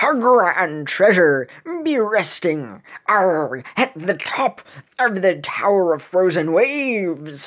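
The text is read aloud in a natural voice.

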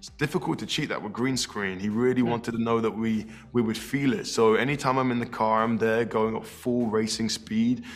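Faint music plays in the background as a man speaks at a fairly quick pace with fairly even intonation. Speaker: actor interviewee. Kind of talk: interview answer. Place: hall.

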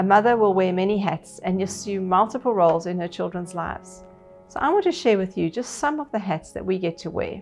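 A woman at a fairly quick pace with ordinary pitch variation, faint music in the background. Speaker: pastor. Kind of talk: sermon. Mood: warm, calm. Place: home room.

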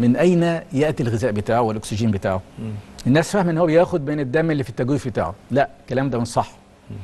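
Lively in intonation, a man talks at a very fast pace. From Egypt. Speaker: cardiology professor. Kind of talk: TV interview. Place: studio. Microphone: lapel.

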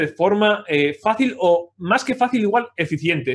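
The background is quiet. A man talks in a high pitch. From Spain, Pamplona (Navarre). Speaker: 3D character sculptor. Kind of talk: livestream tutorial. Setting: live video stream.

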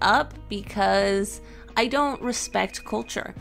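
A woman's voice with music in the background. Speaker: digital artist, aspiring game developer. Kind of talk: casual paint-along vlog narration.

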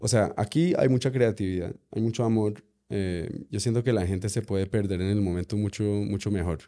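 Over a quiet background, a man speaks at a moderate pace in a fairly low, dark and mellow voice with ordinary pitch variation. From USA (New York). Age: 30s. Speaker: musician; guest. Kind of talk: casual interview. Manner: halting, many fillers. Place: studio. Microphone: studio mic.

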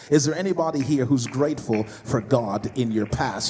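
A man talks at a moderate speed while noticeable background noise carries on behind him. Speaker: preacher. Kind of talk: sermon. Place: hall. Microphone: handheld.

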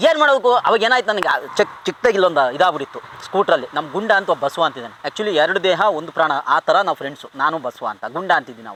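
A man's high pitch makes very wide swings, his loudness shifts widely, and noticeable background noise runs underneath. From Kadur, Chikkamagaluru district, Karnataka. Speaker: comedy film actor. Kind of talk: casual interview, life story. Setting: outdoors in an areca plantation.

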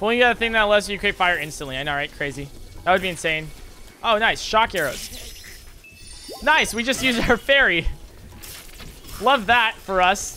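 With music in the background, a man with a high pitch uses a raised, projected voice and lively intonation at a moderate pace, with long, frequent pauses. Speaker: video game streamer. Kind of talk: live gameplay stream commentary. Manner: casual, clipped word endings; animated.

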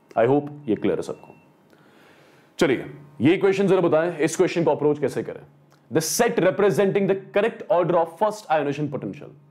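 A man's high voice at a fairly quick pace, lively in intonation, broken by long, frequent pauses. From India. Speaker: online chemistry teacher. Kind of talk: live online lecture, question practice. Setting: live stream, online class. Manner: casual, conversational. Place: studio.

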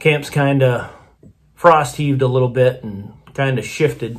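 A man speaks at a moderate pace with a somewhat breathy voice. His intonation stays fairly even. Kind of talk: casual vlog chat. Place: home room. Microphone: phone near.

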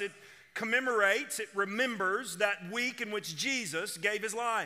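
The background is quiet as a man talks in a raised, projected voice. He keeps a moderate pace. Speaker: senior pastor. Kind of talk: sermon. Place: church. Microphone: headset.

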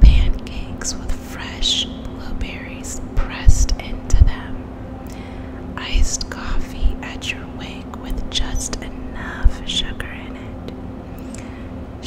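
A woman's whisper at a very slow pace, with hardly any pauses and big swings in loudness. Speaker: ASMR creator and reiki practitioner. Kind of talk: poetry reading. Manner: soft, slow, whispered. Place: home room. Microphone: studio mic.

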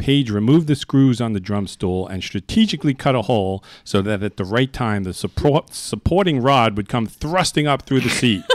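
A man speaks at a moderate pace and medium pitch, with lively intonation and hardly any pauses. The sound is dry with no echo. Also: quiet background. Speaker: radio host. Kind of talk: casual chat. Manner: jokey, laughs often. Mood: jovial, comic storytelling. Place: studio. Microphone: studio mic.

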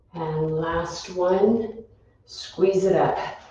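Strong room echo surrounds a woman of medium pitch who speaks at a very slow pace. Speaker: fitness instructor. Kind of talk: live-streamed exercise class, giving clear cues and counting down reps. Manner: brisk, instructional, rhythmic cueing. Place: gym. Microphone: camera far.

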